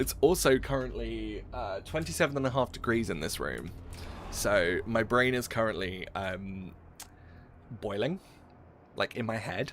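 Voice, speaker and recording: A man with vocal fry speaks at a fairly slow pace. His intonation is lively, broken by long, frequent pauses. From southeast England (Essex), northern father. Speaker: video game streamer. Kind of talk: casual live-stream chat. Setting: live stream from a hot room. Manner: animated.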